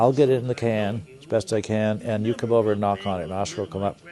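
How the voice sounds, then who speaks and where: Noticeable background noise sits under this man's voice. His pitch is fairly low and his intonation fairly even. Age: 70s. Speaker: puppeteer. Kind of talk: interview. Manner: halting.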